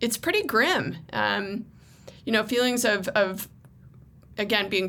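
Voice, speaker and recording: A woman's bright, sharp voice with an American accent and ordinary pitch variation. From Southern California, Lancaster. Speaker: county supervisor. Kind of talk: interview.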